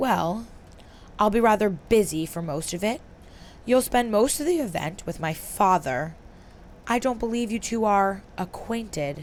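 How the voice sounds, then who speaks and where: In a put-on character voice, a woman drawls at a moderate pace and medium pitch, with long, frequent pauses and clear background noise. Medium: read story. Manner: cool drawl, sharp.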